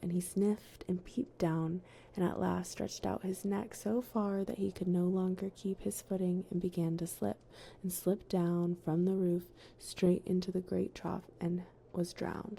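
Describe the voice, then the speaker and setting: A woman speaks in a somewhat breathy voice. Her intonation is flat and monotone. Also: medium pitch for a woman, moderate pace. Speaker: ASMR streamer. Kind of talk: fairy tale reading. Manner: whispered, soft.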